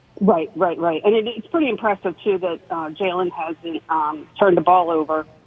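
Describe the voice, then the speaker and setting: Against noticeable background noise, a woman speaks with hardly any pauses. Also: fairly low pitch for a woman, ordinary pitch variation, moderate pace. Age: 60s. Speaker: caller. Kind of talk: radio call-in.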